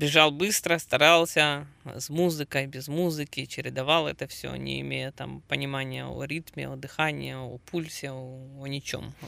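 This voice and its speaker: A man speaks at a fairly slow pace with hardly any pauses. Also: big swings in loudness. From Ukraine. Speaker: amateur marathon runner and triathlete. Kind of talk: casual interview. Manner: halting, many filler sounds.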